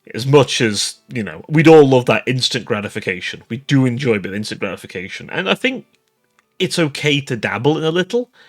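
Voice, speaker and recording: Music plays in the background as a man speaks at a fairly quick pace. His medium-pitched voice has lively intonation. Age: young. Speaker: VTuber streamer. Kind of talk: casual vlog monologue.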